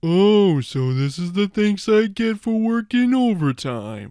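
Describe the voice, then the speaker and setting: A man puts on a character voice, high in pitch. He speaks at a fairly slow pace in a very clean recording with a silent background. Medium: voice reel. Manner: slow, dopey.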